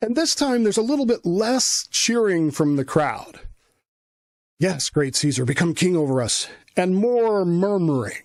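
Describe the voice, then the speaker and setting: Speaking at a fairly slow pace, a man uses a high pitch with very wide pitch swings and very even loudness. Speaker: podcast host. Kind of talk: history podcast narration.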